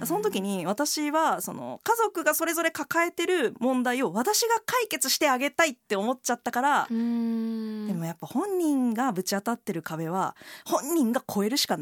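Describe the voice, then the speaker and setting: A dry, close recording with no echo, a moderate pace and very wide swings in pitch. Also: woman, high pitch for a woman. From Kansai, Kobe (Hyogo). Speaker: writer. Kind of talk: casual chat.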